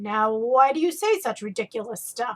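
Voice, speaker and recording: A woman puts on a gruff, growling character voice at a fairly high pitch, speaking at a moderate pace. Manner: indignant, scolding.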